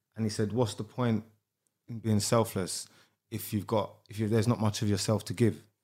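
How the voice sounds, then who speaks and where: A man with a South London accent speaks at a moderate pace with a fairly low pitch, a dark, mellow tone and monotone, flat intonation. The recording is very clean, with a silent background. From South London (Sydenham). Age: 30s. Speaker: rapper and entrepreneur. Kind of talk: casual chat.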